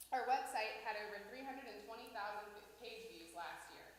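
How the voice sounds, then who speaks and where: A woman talks at a fairly quick pace, with audible room echo and noticeable background noise around her. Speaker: tourism organization staff presenter. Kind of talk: report presentation to city council. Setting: city council meeting. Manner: formal.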